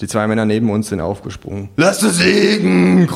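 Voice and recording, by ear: Natural reading aloud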